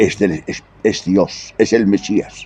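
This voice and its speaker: The man speaks with a dark, mellow tone, his pitch fairly low. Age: 70s. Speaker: preacher. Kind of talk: sermon. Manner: animated.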